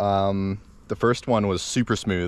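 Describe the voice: A man speaks at a fairly low pitch.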